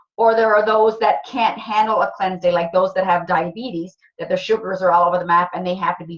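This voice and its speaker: Speaking at a very fast pace with hardly any pauses, a woman keeps a medium pitch and fairly even intonation while her loudness swings widely. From Cape Breton, Nova Scotia. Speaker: wellness product distributor. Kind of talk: sales presentation. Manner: casual.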